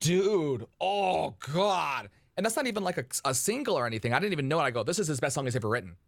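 A man with an American accent talks at a very fast pace and fairly high pitch, with very wide pitch swings, vocal fry and very even loudness. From Michigan, Detroit suburbs. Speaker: radio host. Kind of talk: casual chat. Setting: video call. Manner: animated.

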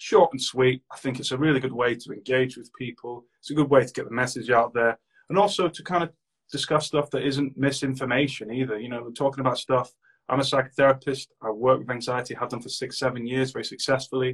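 Somewhat breathy and at a medium pitch, a man talks at a very fast pace with fairly even intonation. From Manchester, England. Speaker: mental health advocate, anxiety page creator. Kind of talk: casual chat.

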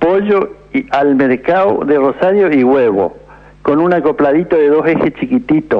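Over noticeable background noise, a man with a fairly high voice speaks with lively intonation. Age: 80s+. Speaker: retired truck driver. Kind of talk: radio call-in. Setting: phone call.

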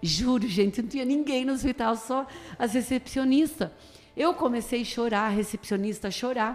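With music playing behind her, a woman speaks at a high pitch with ordinary pitch variation. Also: moderate pace. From Brazil, Tatuí (São Paulo state). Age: 50s. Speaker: pastor. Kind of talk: radio interview.

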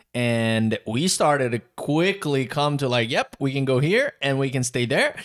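At a fairly slow pace, a man speaks with a Brazilian accent and hardly any pauses. His pitch is fairly high with ordinary variation, and the sound is dry and close with no echo. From southern Brazil. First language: Portuguese. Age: 20s. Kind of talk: casual chat, podcast intro.

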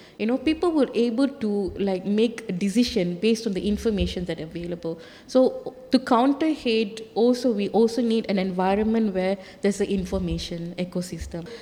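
An unremarkable speaking voice from a woman, medium pitch, fairly quick pace, ordinary pitch variation. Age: 40s. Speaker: freedom of expression advocate. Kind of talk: panel discussion.

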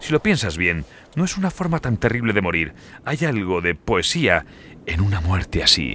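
The voice is bright and sharp, with a theatrical, playful tone. It moves at a moderate pace with very wide pitch swings. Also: man. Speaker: audiobook narrator. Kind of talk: dramatic fiction narration, voicing characters. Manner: theatrical, playful and menacing, jovial tone turning to dark glee; shifts between narration and character dialogue.

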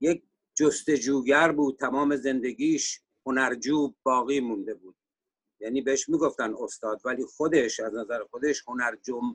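A man's ordinary speaking voice, fairly high in pitch, with fairly even intonation at a fairly slow pace. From Iran, Sari (Mazandaran). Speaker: economist and musician. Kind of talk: panel discussion interview.

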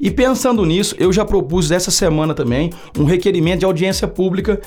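A man speaks at a very fast pace. His voice is high-pitched. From Brazil, Uberlândia, Minas Gerais. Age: 40s. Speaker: city councillor. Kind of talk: podcast interview. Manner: halting, with frequent fillers.

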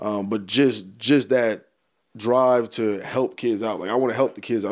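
A man with an American accent and an unremarkable speaking voice, medium pitch, fairly even intonation and a moderate pace. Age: 20s. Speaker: football coach. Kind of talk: casual chat.

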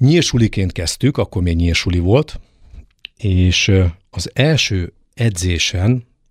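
A man's very deep, low voice, somewhat breathy, with lively intonation, a very slow pace and long, frequent pauses, in a dry, close sound with no echo. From eastern Hungary, Debrecen. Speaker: fencing coach. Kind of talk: interview.

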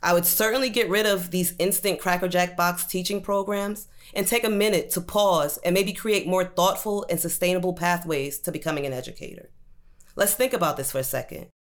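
A woman speaks at a medium pitch with ordinary pitch variation. Her pace is fairly quick and her tone animated. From US Northeast, Brooklyn, New York. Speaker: teacher. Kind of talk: personal testimony.

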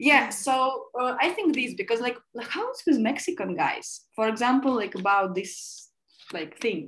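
A woman speaks with a Russian accent at a fairly slow pace. Her high voice has lively intonation. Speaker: podcast guest. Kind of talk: casual chat.

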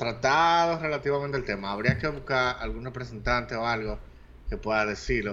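A man with a Dominican accent speaks in a bright, sharp tone. His pace is moderate and his pitch variation ordinary. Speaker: podcast co-host. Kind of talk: casual chat.

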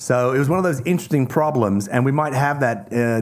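With an Australian accent, a man talks at a moderate pace in fairly even intonation. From Australia (Tasmania), partly raised in Hong Kong. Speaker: zoologist and wildlife conservationist. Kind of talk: casual chat.

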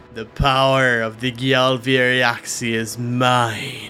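In a loud, guttural put-on character voice, a man speaks at a medium pitch and a very slow pace with monotone, flat intonation over clear background noise. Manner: loud, commanding.

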